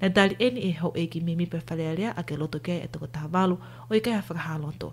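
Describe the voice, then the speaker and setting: Speaking at a very fast pace, a woman uses a very deep, low pitch with vocal fry and ordinary pitch variation. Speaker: news anchor. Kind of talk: news reading.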